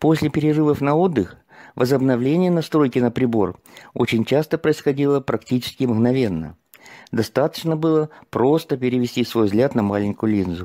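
Lively intonation marks this man's plain, everyday voice, which sits at medium pitch and moves at a moderate pace. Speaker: seminar participant. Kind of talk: testimony. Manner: formal.

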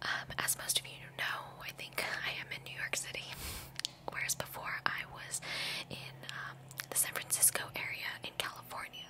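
A soft-spoken woman at a moderate pace, with long, frequent pauses and loud background noise. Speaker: ASMR vlogger. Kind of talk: casual vlog chat. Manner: soft-spoken close-mic ASMR voice. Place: home room. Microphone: studio mic.

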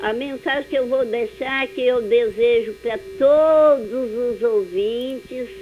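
With light background noise, a woman speaks very slowly at a high pitch, her pitch varying in an ordinary way. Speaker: radio listener calling in. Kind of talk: phone call chat. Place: home room. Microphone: phone line.

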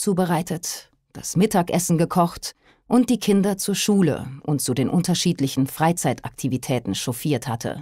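A woman speaks at a moderate pace with a dark, mellow tone and fairly low pitch. Her intonation is lively, and the recording is very clean with a silent background. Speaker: audiobook narrator. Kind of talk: audiobook reading of a crime thriller.

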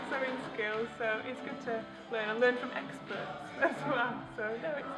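A woman speaks with ordinary pitch variation. Clear music plays in the background. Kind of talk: interview answer. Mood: cheerful. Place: church.

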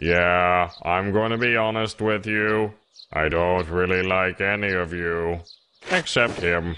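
A man speaks at a very deep, low pitch. His loudness stays very even. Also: fairly slow pace. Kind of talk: comic parody dub. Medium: fan dub. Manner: flat, casual and deadpan, even while dying.

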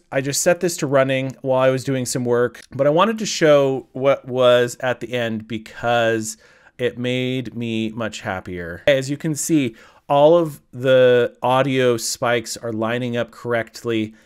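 Over a quiet background, a man talks fairly slowly with ordinary pitch variation. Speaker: video creator. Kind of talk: tutorial. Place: studio. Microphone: studio mic.

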